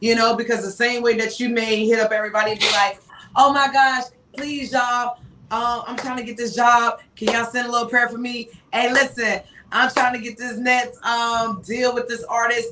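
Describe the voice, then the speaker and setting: Over noticeable background noise, a woman with an American accent speaks at a moderate pace in an animated tone and a high pitch, with big swings in loudness. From North Carolina, Charlotte. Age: 30s. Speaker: radio personality. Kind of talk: casual chat.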